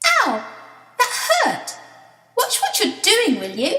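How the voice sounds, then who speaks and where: Someone puts on a squeaky character voice at extremely high pitch, speaking at a very slow pace with slight echo. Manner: indignant, annoyed.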